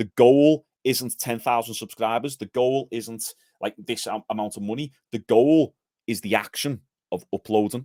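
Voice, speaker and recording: A man with a Liverpool accent, medium pitch, dark and mellow tone, fairly even intonation and moderate pace, in a dry, close sound with no echo on a very clean recording with a silent background. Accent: Liverpool (Scouse), toned down a little. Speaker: gym owner and physique coach. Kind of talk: podcast interview.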